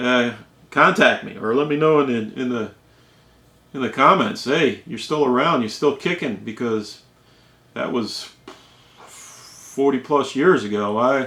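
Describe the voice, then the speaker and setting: Amid noticeable background noise, a man at medium pitch speaks at a fairly slow pace with lively intonation and long, frequent pauses. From New England. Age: 60s. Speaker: storyteller vlogger. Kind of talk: casual storytelling. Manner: halting, repetitive.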